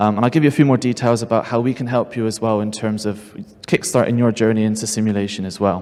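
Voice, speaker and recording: A British accent is heard. The speech moves very fast. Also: man. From United Kingdom. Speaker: seminar presenter. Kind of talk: conference presentation. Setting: stage with audience.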